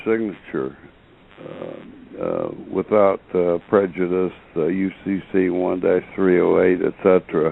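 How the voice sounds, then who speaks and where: A man speaks at a fairly slow pace, and noticeable background noise is heard throughout. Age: 70s. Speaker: caller. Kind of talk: call-in question.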